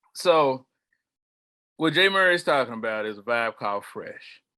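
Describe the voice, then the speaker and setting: A man speaks loudly at a medium pitch with an American accent and a bright, sharp tone. The recording is very clean, with a silent background. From Charlotte, North Carolina, US South. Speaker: community organizer. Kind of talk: podcast interview. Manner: loud and boisterous.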